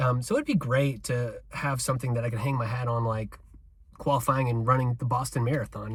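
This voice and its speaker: Rushing at a very fast pace, a man with a somewhat breathy, medium-pitched voice keeps his intonation fairly even. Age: 40s. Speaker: amateur runner vlogger. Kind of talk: casual vlog monologue. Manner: casual, many fillers.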